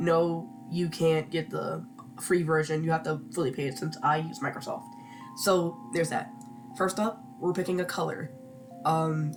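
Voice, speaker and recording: Moderate-paced speech with music in the background. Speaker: digital artist. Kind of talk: casual voice-over tutorial. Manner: rambling, casual, hesitant.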